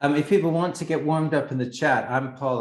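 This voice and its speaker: This man talks at a very fast pace. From Canada, Vancouver. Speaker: workshop facilitator. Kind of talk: online session introduction.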